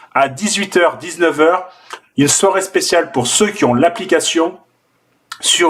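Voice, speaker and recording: With a slight southern French accent, a man speaks in a high, animated voice with ordinary pitch variation. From southern France. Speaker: forex trader and trading teacher. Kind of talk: live trading session with viewers. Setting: live stream on video call and online video. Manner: casual and animated.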